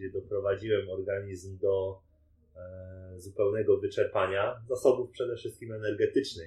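This man speaks at a fairly slow pace. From Poland, Częstochowa. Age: 20s. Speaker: professional triathlete. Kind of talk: interview.

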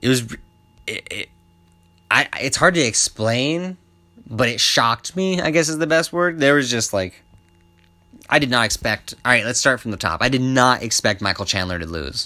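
Speaking at a medium pitch with a Southwestern US accent, a man talks at a moderate pace with very wide pitch swings and long, frequent pauses as music plays in the background. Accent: US Southwest English. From US Southwest, Albuquerque, New Mexico. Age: 20s. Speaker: MMA podcaster. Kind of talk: casual solo commentary. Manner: casual, profanity-laced.

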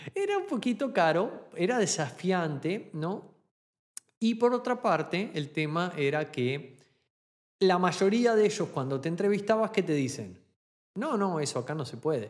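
Fairly slow pace with very wide pitch swings. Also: man, high pitch for a man. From Argentina. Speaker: podcast host, online business coach. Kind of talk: solo podcast monologue.

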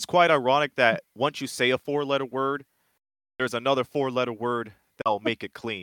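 Bright, sharp tone with fairly even intonation and a dry, close, echo-free sound. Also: man, medium pitch for a man, moderate pace. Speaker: wrestling podcast host. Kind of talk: casual chat.

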